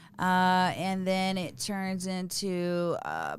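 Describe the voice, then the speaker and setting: In a very clean recording with a silent background, a woman speaks at a medium pitch with a Texas accent. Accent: Texas Southern. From East Texas. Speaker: recovery guest. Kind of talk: testimony. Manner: halting, many fillers.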